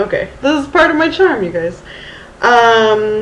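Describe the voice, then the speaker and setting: With a Southern California accent and a fairly high pitch, a woman speaks at a moderate pace with lively intonation over noticeable background noise. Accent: Valley Girl. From Texas, Houston. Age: 30s. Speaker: vlogger. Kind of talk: casual vlog. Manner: halting, many fillers.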